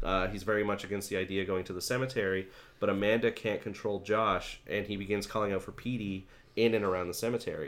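Very fast and monotone, a man speaks with flat intonation and a fairly low pitch. The recording is very clean, with a silent background. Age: 30s. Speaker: podcast host. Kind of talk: casual chat.

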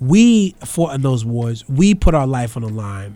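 A man's dark, mellow, somewhat breathy voice with lively intonation. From New York City, the Bronx. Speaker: radio host. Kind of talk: political talk radio commentary. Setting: college radio studio.

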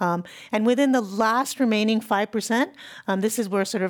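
The very clean recording of a woman's voice has a silent background. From San Francisco Bay Area. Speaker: historian and professor. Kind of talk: interview.

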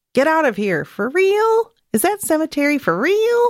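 A squeaky, high, put-on character voice swings very widely in pitch at a moderate pace.

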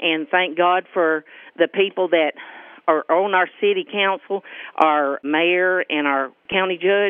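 Speaking with a Southern US accent, a woman uses a fairly low pitch, a fairly slow pace and fairly even intonation. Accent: rural Southern US. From US South, central Arkansas. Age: 50s. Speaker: local resident. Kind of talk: interview.

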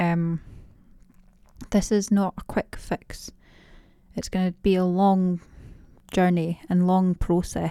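In a Dundee accent, a woman speaks at a medium pitch and a very slow pace, with long, frequent pauses, monotone, flat intonation and a dark, mellow tone, the sound dry and close with no echo. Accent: Scottish (Dundee). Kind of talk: casual interview chat.

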